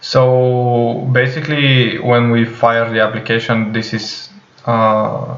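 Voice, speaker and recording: A man with a non-native accent at a very slow pace, medium pitch, and monotone, flat intonation, with audible room echo and noticeable background noise. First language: not English. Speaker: programming tutorial creator. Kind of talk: tutorial. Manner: hesitant, many fillers.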